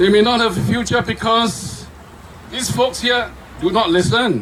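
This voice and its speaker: High-pitched man amid noticeable background noise and audible room echo. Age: 70s. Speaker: speaker at a political rally. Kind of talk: rally speech. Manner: animated.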